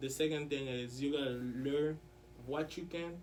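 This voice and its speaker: Over noticeable background noise and audible room echo, a man with a French accent talks fairly quickly in a fairly high pitch, his intonation fairly even. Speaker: interview guest, student. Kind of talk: casual interview.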